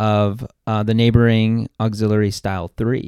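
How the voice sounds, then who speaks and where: On a very clean recording with a silent background, a man with an American accent speaks at a medium pitch and moderate pace, the sound dry and close with no echo. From Texas, New Braunfels. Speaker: podcaster and church member. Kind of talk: casual chat.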